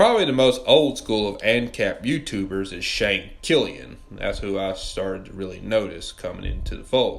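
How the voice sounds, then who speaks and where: With a Southern US accent, a man talks at a moderate pace with hardly any pauses and big swings in loudness. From US South, Mississippi. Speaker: political commentary YouTuber. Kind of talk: scripted video essay narration.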